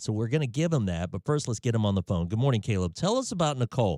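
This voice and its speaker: A man with an American accent speaks in a fairly low pitch with very wide pitch swings. The sound is dry and close, with no echo. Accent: Southern US, people say he sounds country. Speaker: radio host. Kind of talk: morning radio call-in show.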